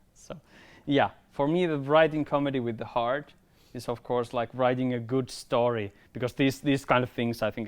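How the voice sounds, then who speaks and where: Spoken at a moderate pace with a Finnish accent, the voice comes through on a very clean recording with a silent background. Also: man. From Finland, rural countryside. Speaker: filmmaker. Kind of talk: workshop talk. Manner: halting, repeats words.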